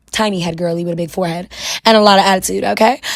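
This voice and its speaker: A woman's medium pitch with fairly even intonation, in a New York accent. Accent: New York (Bronx). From New York City, the Bronx. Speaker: wig stylist and beauty vlogger. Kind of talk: tutorial with story time. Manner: casual, chatty.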